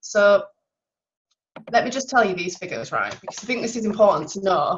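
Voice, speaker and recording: Her voice sits at a medium pitch for a woman, with ordinary pitch variation. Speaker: sales team trainer. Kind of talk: online team training talk. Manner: fast.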